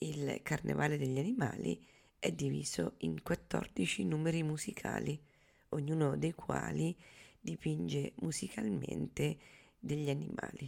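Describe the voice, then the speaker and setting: Long, frequent pauses break up a woman's speech. Her delivery is fairly slow. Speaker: radio host. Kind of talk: radio announcement, scripted programme introduction. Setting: radio studio broadcast. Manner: formal, measured, even-paced.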